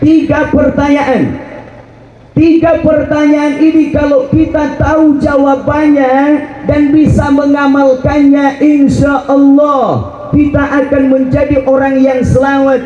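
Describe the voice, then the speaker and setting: Speaking at a very slow pace, a man has an extremely high pitch and monotone, flat intonation. His loudness stays very even over noticeable background noise. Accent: West Javanese. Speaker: Islamic preacher. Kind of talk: religious sermon to live audience. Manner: humorous, joking.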